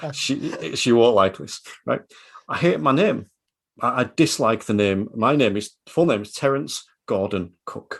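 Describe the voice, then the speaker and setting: A man speaks at a fairly slow pace in a medium pitch. His pitch swings very widely. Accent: Yorkshire. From Yorkshire, northern England. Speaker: podcast guest, driving instructor. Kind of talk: podcast interview. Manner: animated.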